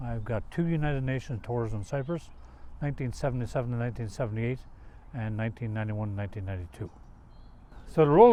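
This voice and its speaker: A man with a Newfoundland accent at a very fast pace, medium pitch, dark, mellow tone and lively intonation. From Newfoundland, Canada. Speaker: army veteran, peacekeeper. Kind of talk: interview.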